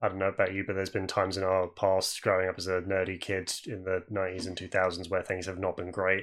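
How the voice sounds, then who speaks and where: Fairly quick, monotone, flat speech with a British accent on a very clean recording with a silent background. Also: man. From UK. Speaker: podcast host. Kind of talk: casual chat.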